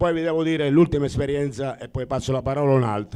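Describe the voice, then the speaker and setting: A man speaks at a medium pitch in a dark, mellow tone. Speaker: church member sharing trip report. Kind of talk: testimony.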